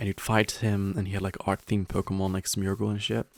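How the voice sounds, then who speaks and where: A man's fairly low, monotone voice with a non-native accent at a fairly quick pace, in a dry, close sound with no echo. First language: not English. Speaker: gaming youtuber. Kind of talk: casual gameplay commentary. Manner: rambling with many fillers.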